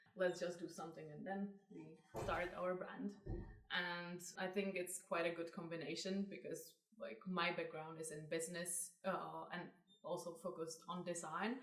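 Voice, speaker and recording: A woman speaks with a Czech accent at a moderate pace, her pitch fairly low. Her intonation is fairly even, and audible room echo surrounds her voice. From Czech Republic. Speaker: fashion brand co-founder. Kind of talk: interview.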